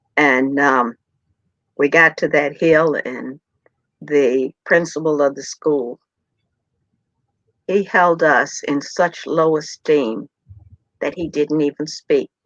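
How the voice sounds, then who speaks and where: In a very deep, low pitch, a woman speaks at a very slow pace with long, frequent pauses and fairly even intonation, in a dry, close sound with no echo. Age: 70s. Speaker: civil rights pioneer and author. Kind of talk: personal testimony.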